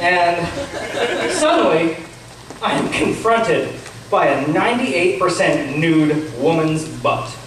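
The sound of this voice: A man speaks with lively intonation and a fairly bright tone. Strong room echo surrounds his voice.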